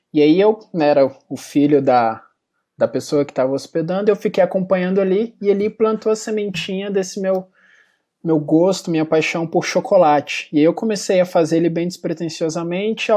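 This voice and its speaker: Over a quiet background, a man with a high pitch and a dark, mellow tone talks at a moderate pace with lively intonation. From Brazil, Belo Horizonte (Minas Gerais). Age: 20s. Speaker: small business owner. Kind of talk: interview.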